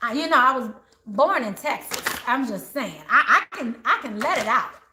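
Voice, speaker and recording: A raised, projected voice with an American accent, animated in tone, moving at a moderate pace through very wide pitch swings. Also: woman. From Maryland / DC area, US. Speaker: tarot reader. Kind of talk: live tarot reading for viewers. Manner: animated, chatty.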